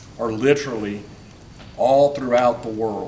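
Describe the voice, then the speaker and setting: Noticeable background noise and audible room echo accompany a man speaking at a medium pitch and moderate pace with ordinary pitch variation. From north Florida (Gilchrist County). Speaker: county sheriff. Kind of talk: public forum speech. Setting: meeting room with audience. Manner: informal, halting with repetitions.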